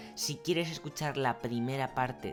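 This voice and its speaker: A man speaks at a moderate pace with lively intonation while music plays in the background. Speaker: radio presenter. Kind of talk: local history narration.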